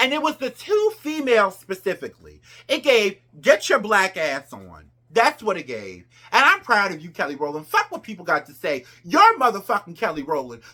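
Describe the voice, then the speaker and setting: A woman at medium pitch speaks at a moderate pace in a bright, sharp, animated tone with vocal fry. Her pitch swings very widely and her loudness shifts in big jumps. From New Jersey. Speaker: pop culture commentator. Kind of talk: casual commentary vlog.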